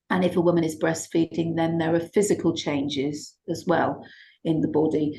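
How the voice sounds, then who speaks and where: Somewhat breathy woman with a dark, mellow tone, fairly low pitch, monotone and flat intonation and a moderate pace. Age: 60s. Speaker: shiatsu therapist and teacher. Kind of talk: interview conversation.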